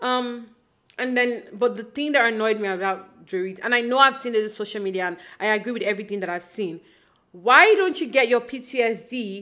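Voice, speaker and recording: Speaking at a fairly quick pace, a woman uses a bright, sharp tone at a fairly high pitch with ordinary pitch variation. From Nigeria. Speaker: podcast host. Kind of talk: casual solo recap podcast.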